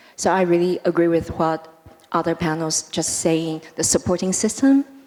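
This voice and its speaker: Here a woman talks at a moderate pace with a fairly low pitch and fairly even intonation. Noticeable background noise is present. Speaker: startup founder, panelist. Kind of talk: panel discussion. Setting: stage with audience.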